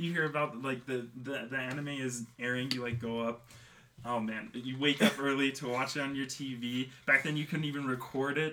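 Bright and sharp in tone, a man talks at a medium pitch with fairly even intonation. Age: 20s. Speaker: podcast host and illustrator. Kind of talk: casual chat.

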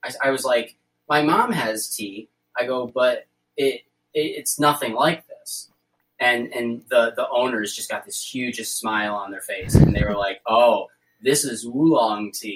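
Speaking in an ordinary speaking voice with an American accent, a man keeps a medium pitch, ordinary pitch variation and a fairly slow pace, while his loudness swings widely. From New York. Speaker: tea vendor and educator. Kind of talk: interview.

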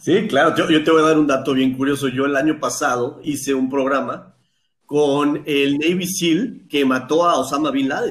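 With an ordinary speaking voice, a man talks at a moderate pace, fairly high in pitch and with fairly even intonation. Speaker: shark researcher. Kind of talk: interview.

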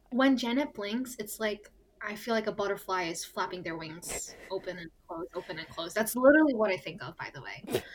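Over noticeable background noise, a woman with an American accent talks at a fairly quick pace with hardly any pauses. Her loudness swings widely. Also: medium pitch for a woman, lively intonation. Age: 20s. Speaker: podcast co-host, pharmacy student. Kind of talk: casual chat. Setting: recording in a closet.

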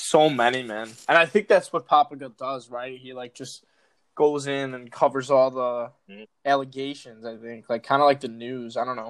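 A man with an American accent uses a normal speaking voice at a medium pitch and moderate pace, with fairly even intonation and big swings in loudness, on a very clean recording with a silent background. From Chicago. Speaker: TikTok creator. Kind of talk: casual chat.

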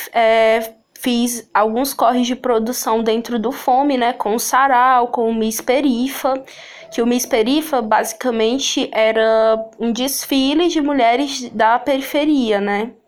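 There is noticeable background noise as a woman speaks at a very slow pace. Her pitch is high and her intonation fairly even. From Sobral, Ceará, Brazil. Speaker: actress, poet and cultural producer. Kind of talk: casual interview.

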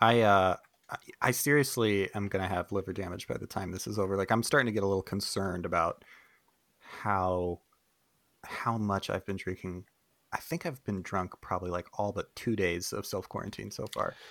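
The speaker has a normal speaking voice with ordinary pitch variation. Delivery is at a moderate pace on a very clean recording with a silent background. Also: man, fairly low pitch for a man. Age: 30s. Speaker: podcast co-host. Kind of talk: casual chat.

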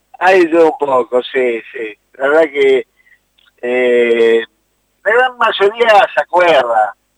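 A man with a fairly high pitch speaks very slowly, with long, frequent pauses and very wide pitch swings. The sound is dry and close, with no echo. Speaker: youth football coordinator. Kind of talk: interview. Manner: hesitant.

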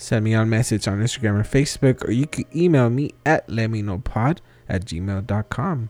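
Recorded with a dry, close sound and no echo, a man speaks in a normal speaking voice at medium pitch, moderate pace and ordinary pitch variation. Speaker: podcast host. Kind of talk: casual interview. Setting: remote recording with out-of-state guest.

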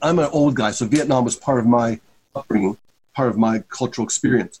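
This man's voice is an unremarkable speaking voice. Its pitch sits at a medium level and varies in an ordinary way. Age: 50s. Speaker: social work professor. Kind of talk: interview.

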